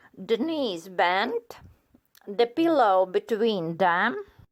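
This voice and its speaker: On a very clean recording with a silent background, a woman with a non-native accent speaks at a very slow pace in a fairly high pitch with very wide pitch swings. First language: not English. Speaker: fitness instructor doctor. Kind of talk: exercise instruction. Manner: slow, measured.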